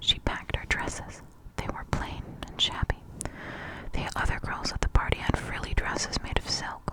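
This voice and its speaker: Whispered words come at a moderate pace, with noticeable background noise around them. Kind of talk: ASMR whispered storybook reading. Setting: close-up microphone, page turning. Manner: whispered, soft-spoken.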